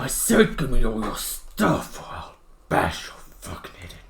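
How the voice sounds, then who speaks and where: A growling put-on character voice at a moderate pace. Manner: menacing, threatening.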